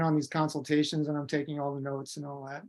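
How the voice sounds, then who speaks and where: The recording is very clean, with nothing heard behind the voice. A man speaks in an American accent. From US Midwest. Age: 60s. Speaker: macrobiotic teacher. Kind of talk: lecture.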